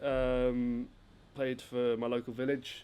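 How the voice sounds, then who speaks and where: With an English accent, a man speaks in a flat monotone. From southern England, near Gatwick. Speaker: footballer and company founder. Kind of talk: casual interview chat.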